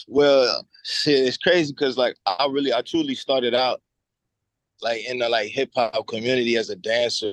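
Speaking at a moderate pace in an American accent, this is a normal speaking voice with fairly even intonation and a dry, close sound with no echo. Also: man, medium pitch for a man. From Cincinnati, US Midwest. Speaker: rapper. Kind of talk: casual interview.

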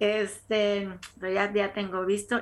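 A woman's voice with a bright, sharp tone. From Mexico, Tampico, Tamaulipas. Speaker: podcast co-host. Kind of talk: casual interview.

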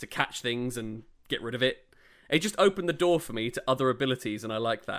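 A man with a medium-pitched voice talks at a very fast pace, his tone animated and his intonation lively. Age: 30s. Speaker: podcast co-host, theatre director. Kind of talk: casual chat. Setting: remote recording at home. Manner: animated, frequent laughter.

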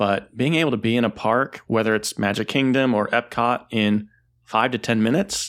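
A normal speaking voice with ordinary pitch variation holds a moderate tempo in a very clean recording with a silent background. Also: man. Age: 30s. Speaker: podcast co-host and travel advisor. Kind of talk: casual chat.

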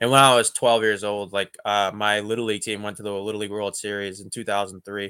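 On a very clean recording with a silent background, a man with a fairly low pitch and a bright, sharp tone talks at a fairly quick pace in a monotone, flat way, with hardly any pauses and big swings in loudness. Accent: American. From Boston. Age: 30s. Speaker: professional baseball player. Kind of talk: casual interview.

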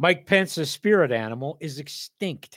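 In an ordinary speaking voice, a man with a fairly high pitch talks at a fairly slow pace, in a dry, close sound with no echo on a very clean recording with a silent background. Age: 60s. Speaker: poet and podcast host. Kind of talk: reading aloud. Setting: studio.

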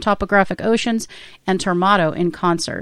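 In a very clean recording with a silent background, a woman talks at a fairly quick pace and medium pitch. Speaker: radio host. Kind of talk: casual chat. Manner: animated.

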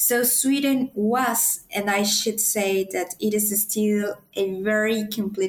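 Speaking very slowly in a Spanish accent, a woman keeps a medium pitch and fairly even intonation. She leaves hardly any pauses. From Mexico City. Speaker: PhD student. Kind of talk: interview.

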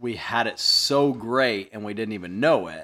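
The voice has a bright, sharp tone and a Midwestern American accent. It moves at a fairly slow pace with ordinary pitch variation. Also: man. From US Midwest, central Illinois. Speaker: podcast host, tool dealer. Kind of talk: casual chat.

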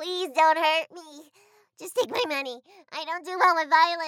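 In a put-on, nasal character voice, a woman speaks at a moderate pace with an extremely high pitch and ordinary pitch variation. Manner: timid, pleading.

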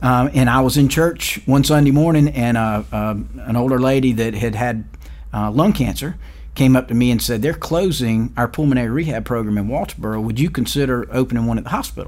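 The speaker has a South Carolina accent and a fairly quick pace. Pitch variation is ordinary. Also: man, medium pitch for a man. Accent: Southern US (South Carolina). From US South, rural South Carolina. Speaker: hospital chief executive. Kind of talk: interview. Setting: studio. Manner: hesitant, many fillers and repeats.

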